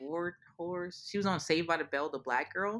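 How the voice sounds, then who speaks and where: Moderate-paced female speech against a quiet background. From New Orleans, Louisiana. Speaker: psychiatrist. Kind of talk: casual interview. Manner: animated.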